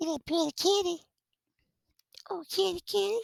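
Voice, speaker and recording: A squeaky, put-on character voice at an extremely high pitch speaks at a moderate pace. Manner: cooing, sweet.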